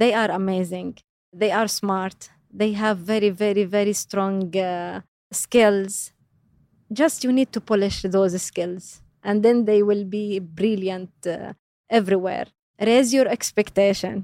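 On a very clean recording with a silent background and a dry, close sound with no echo, a woman with an Arabic accent speaks at a medium pitch in a dark, mellow tone with fairly even intonation. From Jordan. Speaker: career coach and parent. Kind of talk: interview. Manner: hesitant, many fillers.

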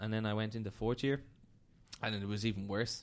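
With a Dublin accent, a man talks at a fairly quick pace. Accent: Dublin Irish. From Dublin, Ireland. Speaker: data scientist. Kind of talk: casual interview chat. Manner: halting, many repetitions and fillers.

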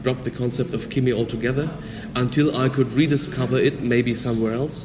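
A man with a German accent, medium pitch and ordinary pitch variation, at a fairly quick pace over noticeable background noise. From Germany. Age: 20s. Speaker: physicist and karate instructor. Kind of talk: interview. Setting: hotel lobby.

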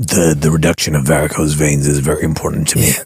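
In a put-on character voice, a man rattles off words very fast, raspy and very deep in pitch. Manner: earnest, self-serious.

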